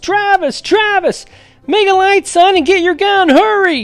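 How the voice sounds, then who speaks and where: A put-on character voice at an extremely high pitch and a moderate pace, with faint music in the background. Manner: urgent, calling out.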